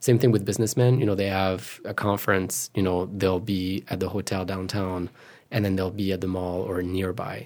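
On a very clean recording with a silent background, a man with a French accent and a very deep, low pitch speaks at a moderate pace with fairly even intonation. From France, Paris suburbs. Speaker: moderator and photographer. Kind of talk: casual interview. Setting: studio.

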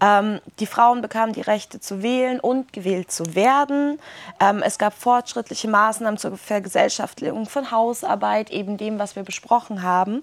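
An ordinary speaking voice delivered at a moderate pace with ordinary pitch variation. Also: woman, fairly high pitch for a woman. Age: 20s. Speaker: social worker and activist speaker. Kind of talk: workshop talk. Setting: summer camp workshop with audience.

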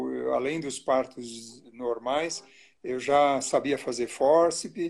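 A normal speaking voice from a man, pitched fairly high, intonation fairly even. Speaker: obstetrician. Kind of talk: casual chat. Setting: Instagram live video.

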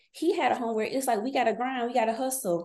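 A woman's voice is high in pitch yet dark and mellow in tone. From North Carolina. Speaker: business consultant. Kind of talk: casual chat.

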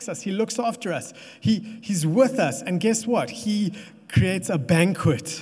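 Pitch shifts an ordinary amount through this natural reading voice.

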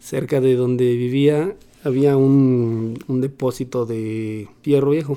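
Very slow speech in a dark, mellow tone. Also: man, medium pitch for a man, fairly even intonation. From Mexico City. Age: 40s. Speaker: bicycle mechanic and cycling traveler. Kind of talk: interview testimony.

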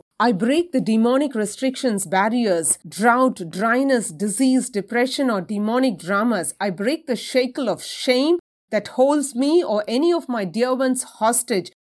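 A woman speaks in a normal speaking voice at a fairly high pitch. Her intonation is lively and her pace fairly slow. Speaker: prayer leader. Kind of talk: fervent prayer, commanding spiritual warfare declarations. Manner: intense, forceful, authoritative; rhythmic, rising cadence with repeated lists.

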